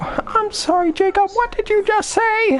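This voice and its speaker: An extremely high, put-on character voice speaks at a moderate pace. Background noise is clearly heard. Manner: angry, scolding.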